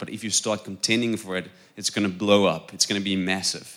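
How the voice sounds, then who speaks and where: Speaking at a fairly quick pace, the man has a fairly low pitch and a South African accent. His tone is bright and sharp, and his intonation is monotone and flat. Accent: Afrikaans-accented English. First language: Afrikaans. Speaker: preacher. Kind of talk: sermon. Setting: church.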